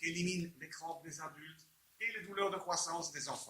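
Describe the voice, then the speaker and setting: A man with a high voice speaks with a fairly even intonation. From Belgium. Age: 60s. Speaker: inventor selling his product. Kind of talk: sales pitch. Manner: halting, with repeated words.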